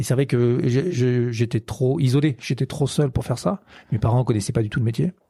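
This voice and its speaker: This man's voice sits at a medium pitch with a dark, mellow tone and a somewhat breathy quality. He keeps a moderate pace, ordinary pitch variation and very even loudness. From western France, Poitou-Charentes (La Rochelle). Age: 40s. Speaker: film director. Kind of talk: interview. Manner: halting, many fillers.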